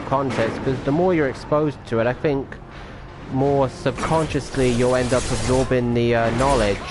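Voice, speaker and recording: A man at a medium pitch with ordinary pitch variation and a slight British accent, music playing in the background. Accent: faint British. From England. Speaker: video game streamer. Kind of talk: casual gameplay commentary. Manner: hesitant, many fillers.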